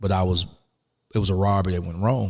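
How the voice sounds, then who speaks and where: In a Southern US accent, a man with a very deep, low voice talks at a very fast pace on a very clean recording with a silent background. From US South, rural Alabama. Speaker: former prisoner, life coach. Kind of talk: interview. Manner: halting.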